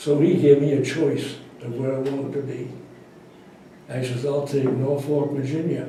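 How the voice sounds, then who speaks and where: Over noticeable background noise, a man with an American accent speaks at a moderate pace in a fairly high pitch. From Providence, Rhode Island, USA. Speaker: WWII Navy veteran. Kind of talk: interview answer, recounting his military service.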